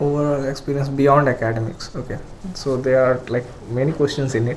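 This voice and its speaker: Speaking fairly quickly in a flat monotone, a man with an Indian accent and a fairly high pitch is heard over noticeable background noise. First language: Hindi. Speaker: engineering graduate student. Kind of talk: podcast interview. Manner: hesitant, many fillers.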